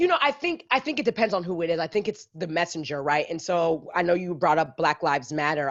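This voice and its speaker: Her pitch fairly low, a woman speaks in a Caribbean accent. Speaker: podcast host. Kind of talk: casual interview chat.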